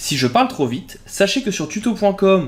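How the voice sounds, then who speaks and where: Somewhat breathy, a man speaks at a moderate pace with very wide swings in pitch. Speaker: graphic design software tutor. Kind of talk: tutorial.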